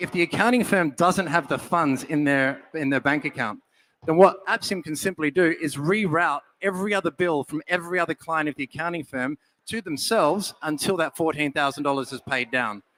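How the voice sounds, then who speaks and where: With an Australian accent, a man talks at a fairly quick pace in a bright, sharp tone and fairly high pitch. The sound is dry and close with no echo, and his pitch varies in an ordinary way. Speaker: startup founder pitching. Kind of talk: pitch presentation and Q&A.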